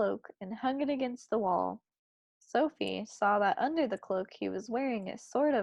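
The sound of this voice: Quiet background behind an unforced reading voice.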